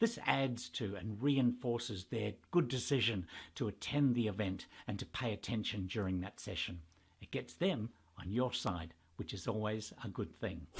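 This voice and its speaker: A man speaks at a moderate pace, somewhat breathy, in a fairly low pitch with ordinary variation. The recording is very clean with a silent background. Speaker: professional master of ceremonies. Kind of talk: tutorial talk to camera.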